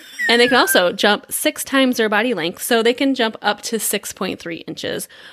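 A fairly high-pitched woman's voice, an unremarkable speaking voice, with lively intonation at a fairly quick pace. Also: big swings in loudness. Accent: American. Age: 40s. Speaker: podcast co-host. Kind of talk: casual chat.

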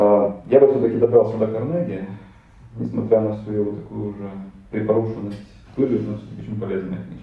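Talking at a fairly quick pace, a man with a fairly low voice and ordinary pitch variation leaves long, frequent pauses. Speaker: IT company co-founder. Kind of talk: podcast interview.

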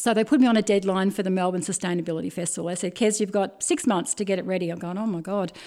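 A woman with an Australian accent, a dark, mellow tone and a medium pitch, at a very fast pace with fairly even intonation. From Australia, Bendigo (Victoria). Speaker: tea business owner. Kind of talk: interview.

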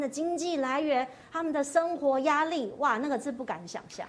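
Her high voice has lively intonation as the woman keeps to a moderate pace. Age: middle-aged. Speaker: talk show host. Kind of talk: casual chat. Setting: studio.

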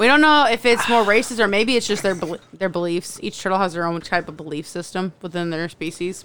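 A woman talks fairly quickly in an ordinary speaking voice of medium pitch, her intonation lively. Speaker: podcast co-host. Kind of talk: casual chat.

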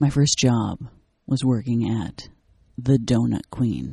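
A woman with a very deep, low pitch and a dark, mellow tone speaks fairly slowly with vocal fry and ordinary pitch variation. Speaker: comedian, actor and radio personality. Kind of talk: casual chat.

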